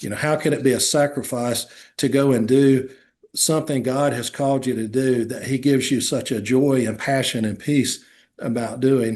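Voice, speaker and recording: The pace is moderate and the intonation fairly even. The background is quiet. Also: man. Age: 60s. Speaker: lawyer. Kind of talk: interview. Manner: halting.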